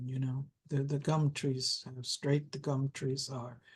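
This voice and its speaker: A woman with a German accent speaks at a fairly slow pace in a dark, mellow tone that is somewhat breathy. The background is quiet. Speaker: interviewee sharing spiritual memories. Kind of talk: interview. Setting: video call.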